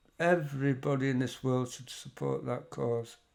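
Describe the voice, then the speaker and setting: A man with an English accent speaks at a fairly slow pace with ordinary pitch variation. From England. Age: 60s. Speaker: music reaction youtuber. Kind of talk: casual reaction commentary.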